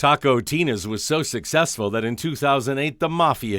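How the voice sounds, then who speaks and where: In a very clean recording with a silent background, a man with a normal speaking voice talks at a medium pitch and moderate pace with lively intonation. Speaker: TV news reporter. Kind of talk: TV news feature narration.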